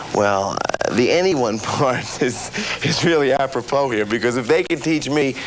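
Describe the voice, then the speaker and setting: Noticeable background noise sits behind this man's voice. He speaks at a fairly slow pace with lively intonation. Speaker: actor, infomercial host. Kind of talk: infomercial host talk to camera. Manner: casual, self-deprecating, hesitant.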